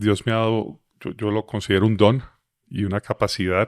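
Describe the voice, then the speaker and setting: Fairly low male voice, monotone and flat, at a fairly slow pace, with a dry, close sound, no echo, and a very clean recording over a silent background. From Colombia, Medellín (paisa). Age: 50s. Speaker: motivational speaker and author. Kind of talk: interview testimony.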